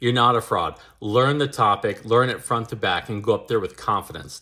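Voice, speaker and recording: A man's loud, bright, sharp voice at a very fast pace, on a very clean recording with a silent background. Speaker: public speaking coach and former EMS worker. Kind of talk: advice monologue. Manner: loud, projecting.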